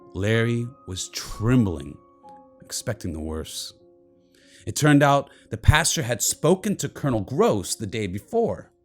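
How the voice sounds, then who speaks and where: Over music in the background, a man speaks at a fairly slow pace, his pitch swinging very widely and his loudness rising and falling sharply. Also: medium pitch for a man. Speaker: local history show host. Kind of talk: documentary narration.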